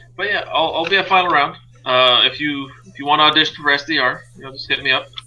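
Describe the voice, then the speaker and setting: Noticeable background noise surrounds a man talking at a very fast pace. His volume rises and falls in big swings. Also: fairly high pitch for a man. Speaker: podcast host. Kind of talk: casual chat. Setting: live stream. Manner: monotone; deadpan.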